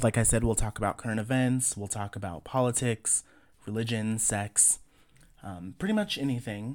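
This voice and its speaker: Heard on a very clean recording with a silent background, a man with a plain, everyday voice speaks at moderate pace and medium pitch with fairly even intonation. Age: 30s. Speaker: podcast host. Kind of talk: casual monologue.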